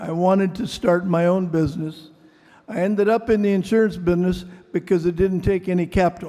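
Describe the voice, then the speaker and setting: Fairly quick and high-pitched, a man talks in a Midwestern accent with monotone, flat intonation. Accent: American Midwest. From US Midwest, Mason City, Iowa. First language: Greek. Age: 80s+. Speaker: venture capitalist. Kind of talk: award acceptance speech.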